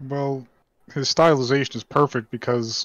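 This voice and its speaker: The voice has a monotone, flat intonation and a moderate pace, with a dry sound with no echo against a quiet background. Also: man. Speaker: pop culture show co-host. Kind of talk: casual chat. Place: home room. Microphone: video call.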